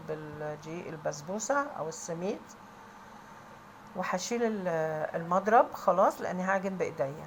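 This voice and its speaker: A woman speaks with an Egyptian accent. Her pace is fairly slow. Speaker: home cook. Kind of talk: tutorial. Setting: kitchen. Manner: raised voice.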